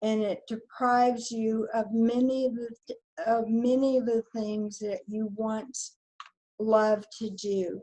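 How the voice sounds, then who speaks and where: Her voice has a dark, mellow tone, a fairly high pitch for a woman and a somewhat breathy quality. She speaks at a very slow pace with monotone, flat intonation. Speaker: person living with ALS. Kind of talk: testimony. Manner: halting.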